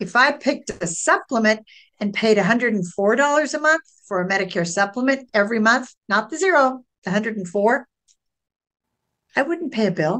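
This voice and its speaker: A woman with an unremarkable speaking voice, fairly high in pitch, with lively intonation at a moderate pace. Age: 60s. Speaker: Medicare insurance broker. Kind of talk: podcast interview.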